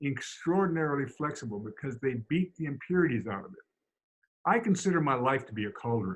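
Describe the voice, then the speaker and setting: Somewhat breathy, the voice swings very widely in pitch at a fairly quick pace. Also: man. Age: 70s. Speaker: Feldenkrais teacher. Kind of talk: interview conversation. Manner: halting, with many repeated words.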